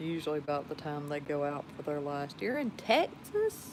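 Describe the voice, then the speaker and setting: Very slowly, a woman with a very deep, low voice talks in a Georgia accent. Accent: Georgia Southern drawl. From Georgia, US South. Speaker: live streamer. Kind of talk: casual chat.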